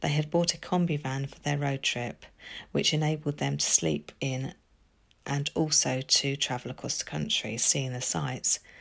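A woman's very deep, low voice with vocal fry, a serious tone, ordinary pitch variation and a moderate pace, on a very clean recording with a silent background. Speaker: podcast narrator. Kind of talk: true-crime narration. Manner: even, measured storytelling pace; sombre, serious, factual.

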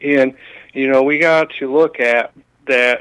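At a moderate pace, a man talks in an unremarkable speaking voice with fairly high pitch and ordinary pitch variation. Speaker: caller. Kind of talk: call-in talk. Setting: phone call.

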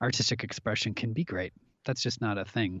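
With an American accent, a man talks in a fairly low pitch with ordinary pitch variation and an ordinary speaking voice. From US Midwest, Minnesota (Minneapolis). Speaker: actor. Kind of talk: casual chat.

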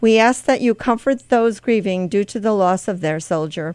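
In an ordinary speaking voice, a woman with an American accent speaks at a moderate pace, her fairly high pitch showing ordinary variation, in a dry, close sound with no echo. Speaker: radio host. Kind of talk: prayer; scripted devotional reading. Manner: fervent; solemn.

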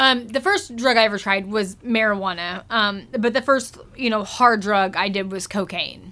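A woman with an American accent and a bright, sharp tone speaks at a moderate pace with hardly any pauses, her fairly high pitch held in fairly even intonation. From Springfield, US Midwest. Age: 30s. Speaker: person in addiction recovery. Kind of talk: interview.

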